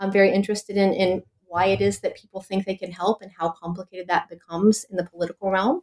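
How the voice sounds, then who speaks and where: A woman with an American accent, medium pitch, and monotone, flat intonation at a very fast pace, in a dry, close sound with no echo. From US South, North Carolina. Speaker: professor and author. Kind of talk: interview about a book.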